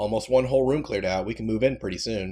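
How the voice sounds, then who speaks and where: Using a put-on character voice, a man speaks at a very fast pace. His pitch is medium. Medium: read story. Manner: casual, joking.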